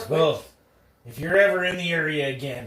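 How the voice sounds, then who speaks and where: A man puts on a character voice pitched fairly high for a man. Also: moderate pace. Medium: actual play. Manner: cocky, brusque.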